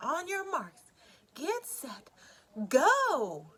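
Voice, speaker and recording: Shouting in a put-on character voice with very wide pitch swings. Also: woman, extremely high pitch for a woman. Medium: read story.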